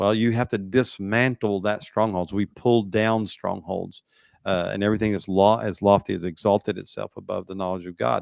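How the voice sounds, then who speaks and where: A man speaks at a fairly low pitch and a moderate pace with fairly even intonation. The recording is very clean, with a silent background. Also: dry, close sound with no echo. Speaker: pastor and talk show host. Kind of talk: political commentary with preaching. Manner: halting.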